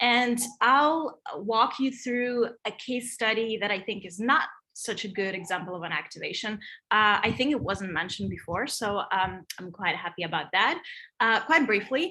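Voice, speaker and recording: A woman speaks at a moderate pace with a fairly high pitch, a slight non-native accent and a bright, sharp tone. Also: lively intonation. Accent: European accent, slight. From Europe. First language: not English. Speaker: digital design and Web3 consultant. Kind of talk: presentation.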